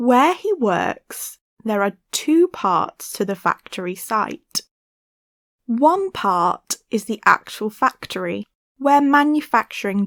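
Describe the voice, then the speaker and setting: A British accent at a very slow pace, with lively intonation. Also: woman. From Britain. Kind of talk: language-learning reading passage.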